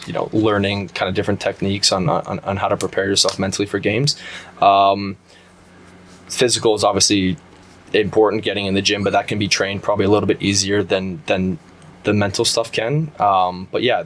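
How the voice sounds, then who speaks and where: A man with a Canadian accent has a plain, everyday voice. He talks at a fairly quick pace in a fairly low pitch, with fairly even intonation. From Canada, Brampton Ontario. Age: 30s. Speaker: professional soccer player. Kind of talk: interview. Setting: studio. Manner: many fillers and repetitions.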